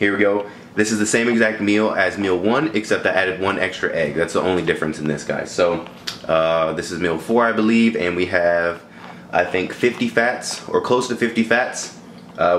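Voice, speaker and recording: A man speaks at a moderate pace with a fairly low pitch and ordinary pitch variation. There is light background noise and audible room echo. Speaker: fitness vlogger. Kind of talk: casual vlog chat. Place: kitchen. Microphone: phone near.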